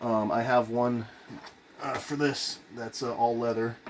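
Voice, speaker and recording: A man talks at a fairly low pitch over light background noise. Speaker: guitar collector, video creator; video creator. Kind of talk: casual show-and-tell of instruments. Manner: hesitant, many fillers. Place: home room. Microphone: phone near.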